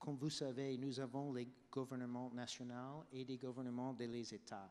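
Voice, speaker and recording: A man with an English accent. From United States. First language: English (speaking French). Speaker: health policy expert. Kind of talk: panel debate. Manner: halting.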